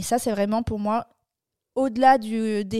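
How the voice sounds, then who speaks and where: Her voice is fairly high in pitch with a dark, mellow tone, and this woman is captured in a very clean recording with a silent background and a dry, close sound free of echo. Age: 20s. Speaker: podcast co-host. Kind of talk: casual chat.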